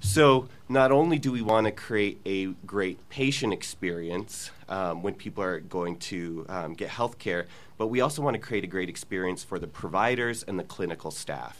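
A man with a plain, everyday voice and a fairly low pitch talks at a moderate pace with lively intonation. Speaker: healthcare business executive. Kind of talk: panel discussion.

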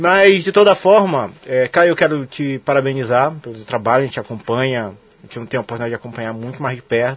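A man with a normal speaking voice, a fairly quick pace and ordinary pitch variation. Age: 30s. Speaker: radio sports show host. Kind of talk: casual interview.

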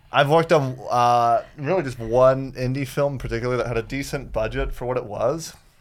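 A man with an American accent and a normal speaking voice talks at a medium pitch and a fairly quick pace, with fairly even intonation and hardly any pauses. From US South, Florida. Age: 20s. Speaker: stand-up comedian. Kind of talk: casual chat.

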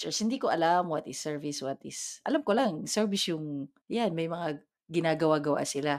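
Lively intonation and a fairly quick pace mark a normal speaking voice on a very clean recording with a silent background. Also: woman, fairly low pitch for a woman. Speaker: podcast co-host. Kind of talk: casual chat.

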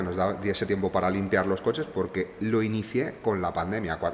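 Moderate pace over noticeable background noise. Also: man. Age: 30s. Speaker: luxury car rental entrepreneur. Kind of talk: casual interview.

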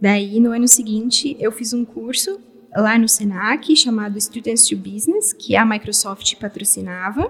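At a moderate pace, a woman talks in a somewhat breathy, fairly high voice with ordinary pitch variation. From Brazil, São Paulo area. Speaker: software developer. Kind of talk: interview.

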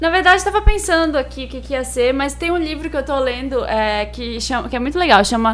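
A woman talking at a fairly quick clip with hardly any pauses, in a room with audible echo. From Belém, northern Brazil. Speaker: podcast co-host. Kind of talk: casual chat.

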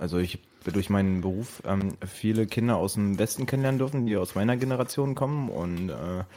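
Dark and mellow in tone, this man speaks with a fairly low pitch. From East Berlin, Germany. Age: 20s. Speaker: podcast host. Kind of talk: casual chat.

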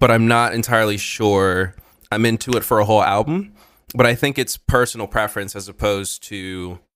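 The delivery keeps a moderate pace while music sits in the background. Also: man. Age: 20s. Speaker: podcast co-host, music reviewer. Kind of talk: casual chat.

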